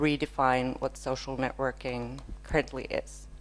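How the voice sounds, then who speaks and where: Woman with a Finnish accent, speaking at a fairly slow pace. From northern Finland. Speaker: user researcher. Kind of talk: conference keynote.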